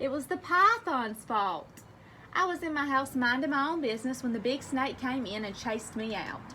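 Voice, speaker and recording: Putting on a character voice, a woman speaks high and shaky at a moderate pace with lively intonation over light background noise. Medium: read story. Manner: timid, trembling.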